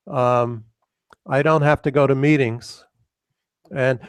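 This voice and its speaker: A man speaks in an American accent at a fairly high pitch. His pace is fairly slow, and the sound is dry and close with no echo. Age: 60s. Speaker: retired professor, AI researcher. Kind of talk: Q&A after a lecture. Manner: halting, many fillers.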